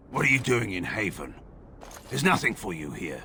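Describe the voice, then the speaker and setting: A man's put-on character voice, raspy and at a very deep, low pitch, at a fairly quick pace over clear background noise. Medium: video game. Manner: curt, guarded.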